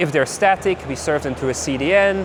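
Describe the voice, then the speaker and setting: Talking very fast, a man is heard against noticeable background noise. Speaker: tech company founder giving conference talk. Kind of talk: conference talk. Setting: stage with audience.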